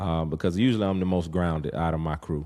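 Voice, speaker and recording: At a very fast pace, a man speaks with ordinary pitch variation in a very clean recording with a silent background. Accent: Southern US. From US South, rural north Florida (Havana, Florida). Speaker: podcast host, father. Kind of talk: casual monologue. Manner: halting, many fillers.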